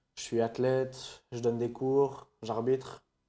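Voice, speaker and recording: At a very slow pace, a man speaks with a medium pitch and a dark, mellow tone. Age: 20s. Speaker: Brazilian jiu-jitsu athlete and coach. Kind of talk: podcast interview.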